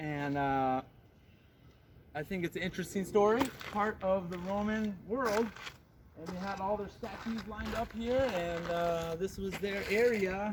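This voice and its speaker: Over noticeable background noise, a loud man with a high pitch speaks at a fairly slow pace, with ordinary pitch variation and long, frequent pauses. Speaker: travel vlogger. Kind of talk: walking tour vlog. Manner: casual, hesitant with fillers.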